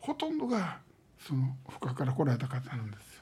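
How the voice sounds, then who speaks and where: The voice has a dark, mellow tone, somewhat breathy, with lively intonation at a moderate pace. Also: man. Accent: Kansai. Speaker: local historian. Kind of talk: interview. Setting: archive room.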